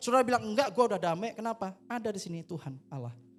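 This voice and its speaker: Talking at a very fast pace in an animated tone, a man is heard over music in the background. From Indonesia, Surabaya (East Java). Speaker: pastor. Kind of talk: sermon. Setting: church service.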